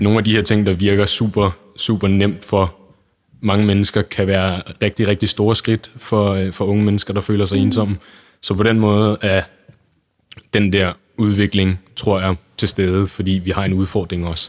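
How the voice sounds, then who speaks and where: In a very clean recording with a silent background, a man with a fairly low pitch speaks at a fairly slow pace in a flat monotone, his loudness very even. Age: 20s. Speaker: youth volunteer organisation chair. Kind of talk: interview.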